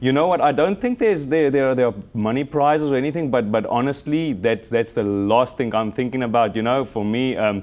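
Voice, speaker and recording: A man's medium-pitched voice at a fairly quick pace, with hardly any pauses, ordinary pitch variation and very even loudness. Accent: South African. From South Africa. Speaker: pageant contestant and fitness model. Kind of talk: TV interview. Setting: live TV studio. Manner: halting, many fillers and repetitions.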